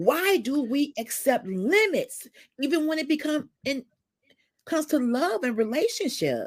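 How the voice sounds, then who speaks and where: Loud and high-pitched, a woman speaks with very wide pitch swings on a very clean recording with a silent background. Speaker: livestream talk show host. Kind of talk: casual discussion.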